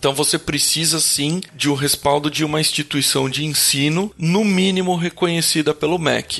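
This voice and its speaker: A man talks in an unremarkable speaking voice at a fairly high pitch. His pitch varies in an ordinary way, and his pace is fairly slow. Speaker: podcast co-host, electrical engineer. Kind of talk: casual chat.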